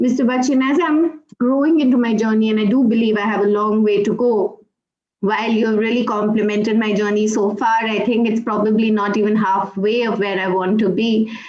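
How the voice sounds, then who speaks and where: A woman's fairly high voice at a fairly quick pace, very even in loudness and fairly even in intonation, with audible room echo. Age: young. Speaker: HR professional. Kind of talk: live-streamed interview.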